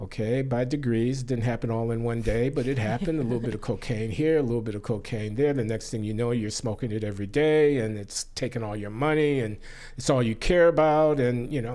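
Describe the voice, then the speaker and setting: In a dark, mellow tone, a man talks at a fairly quick pace with ordinary pitch variation against a quiet background. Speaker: podcast guest. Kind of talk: interview answer. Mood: reflective, candid storytelling. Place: studio. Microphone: studio mic.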